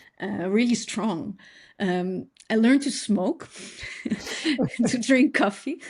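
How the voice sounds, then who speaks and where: Somewhat breathy, a woman with a Dutch accent talks at a fairly high pitch with lively intonation. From Netherlands. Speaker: designer and educator. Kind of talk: podcast interview. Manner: halting, many fillers.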